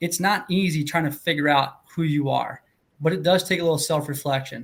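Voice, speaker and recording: A man's fairly high-pitched, fairly quick delivery with fairly even intonation, in an ordinary speaking voice. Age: 40s. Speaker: real estate investor podcast co-host. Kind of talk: casual panel discussion.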